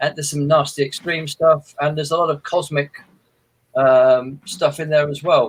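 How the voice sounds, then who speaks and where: Somewhat breathy, a man speaks in a fairly high pitch at a moderate pace with fairly even intonation. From England, Midlands, traveller family. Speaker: horror author. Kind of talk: interview.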